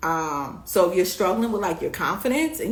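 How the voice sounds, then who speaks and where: A woman in a New York accent, with noticeable background noise and audible room echo. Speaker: beauty business coach. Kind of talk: live stream coaching talk. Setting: live stream. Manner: fast; animated.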